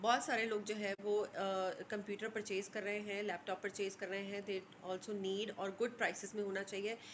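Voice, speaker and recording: A woman is speaking. Her pace is moderate. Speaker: lifestyle vlogger. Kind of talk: casual vlog talk to camera. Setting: at home in kitchen. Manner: hesitant, many fillers.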